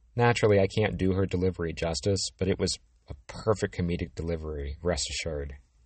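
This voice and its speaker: A man talks at a fairly quick pace, his voice somewhat breathy. His pitch moves in an ordinary way. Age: 50s. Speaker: physical therapist podcaster. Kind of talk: educational monologue.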